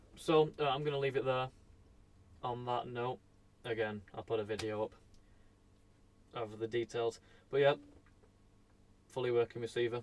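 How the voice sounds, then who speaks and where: A man mumbles with fairly even intonation. He pauses often and at length. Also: medium pitch for a man, moderate pace. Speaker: electronics repair streamer. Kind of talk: live stream commentary. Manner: mumbling; casual, hesitant with fillers.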